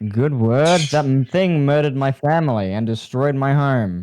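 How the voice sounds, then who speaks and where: Using a put-on character voice, a man sounds robotic. He talks at a moderate pace in a medium pitch. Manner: flat, robotic, staring intensity.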